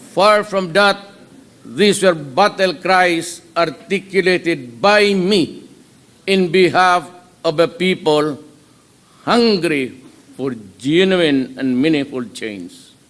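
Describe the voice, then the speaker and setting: High-pitched for a man, this speaker talks very slowly with long, frequent pauses and ordinary pitch variation, over noticeable background noise. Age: 70s. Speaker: head of state. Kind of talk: inaugural speech. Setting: formal hall before an audience.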